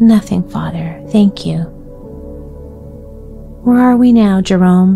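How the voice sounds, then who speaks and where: A soft-spoken woman talks at a fairly slow pace in a soothing tone, medium in pitch with fairly even intonation. Music plays in the background. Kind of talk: bedtime story reading. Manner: soft, soothing.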